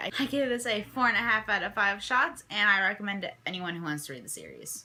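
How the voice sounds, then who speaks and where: Lively intonation from a woman at medium pitch and a fairly quick pace. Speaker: book vlogger. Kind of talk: casual vlog monologue. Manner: fast.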